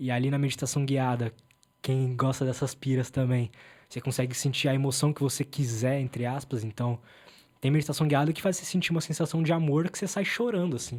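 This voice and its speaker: On a very clean recording with a silent background, a man with a fairly high pitch and a somewhat breathy voice speaks at a fairly quick pace. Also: ordinary pitch variation. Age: 20s. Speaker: podcast host interviewed as guest. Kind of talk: casual chat. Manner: fast.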